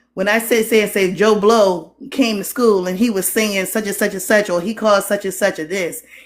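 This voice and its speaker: Here is a woman with a Geechee accent. Her pitch is fairly high. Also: very clean recording, silent background. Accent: Geechee, slurs some words. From Geechee (Gullah) Lowcountry, US Southeast coast. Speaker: teacher. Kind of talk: live stream discussion.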